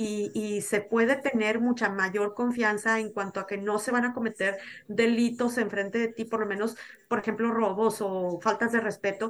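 This woman has a fairly high voice delivered in a flat, monotone intonation. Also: moderate pace. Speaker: podcast guest, Mexican living abroad. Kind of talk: casual chat.

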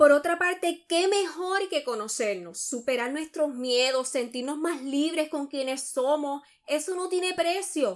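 At a fairly slow pace with hardly any pauses, a woman speaks in a high pitch with lively intonation, recorded very cleanly against a silent background. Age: 30s. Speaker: podcast host. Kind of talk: solo podcast monologue.

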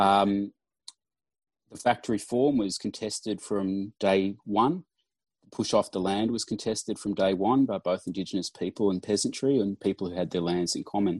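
This is an ordinary speaking voice at a moderate pace with fairly even intonation. The sound is dry and close with no echo, against a quiet background. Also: man, fairly low pitch for a man. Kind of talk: workshop discussion. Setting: video call.

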